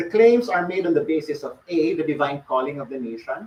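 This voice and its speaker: Pitched fairly high, a man races along at a very fast pace with lively intonation. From Philippines. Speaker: academic lecturer. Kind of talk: lecture. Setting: lecture hall with audience, streamed online.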